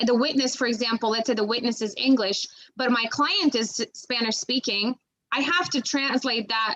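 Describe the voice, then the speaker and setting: A woman talks at a moderate pace and high pitch in a Macedonian accent. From North Macedonia. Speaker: bilingual criminal investigator. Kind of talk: career talk to students. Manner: halting, many fillers and restarts.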